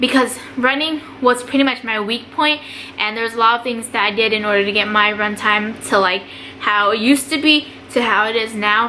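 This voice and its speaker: With an American accent, a woman with a fairly high pitch speaks at a fairly quick pace and ordinary pitch variation amid noticeable background noise. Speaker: army NCO and vlogger. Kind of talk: casual tutorial vlog. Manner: fast; casual.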